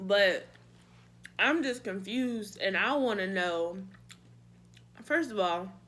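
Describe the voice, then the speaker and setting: A woman's medium-pitched voice, bright and sharp in tone, with lively intonation, a very slow pace and audible room echo. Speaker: beauty and lifestyle vlogger. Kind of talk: casual chat. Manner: animated.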